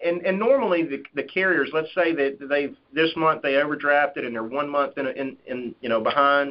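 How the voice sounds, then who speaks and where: A man speaks with a Southern US accent at a moderate pace, his pitch varying in an ordinary way. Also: fairly high pitch for a man. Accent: Southern twang. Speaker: life insurance sales agent. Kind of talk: conference call Q&A. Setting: phone call.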